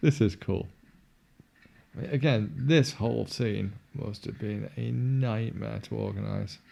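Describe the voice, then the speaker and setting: A man with a Yorkshire accent, a fairly slow pace and long, frequent pauses. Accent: generic northern English, Yorkshire-inflected. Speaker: film commentary podcaster. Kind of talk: casual chat.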